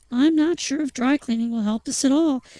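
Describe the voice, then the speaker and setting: A woman puts on a character voice pitched high. She talks at a fairly quick pace. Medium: read story.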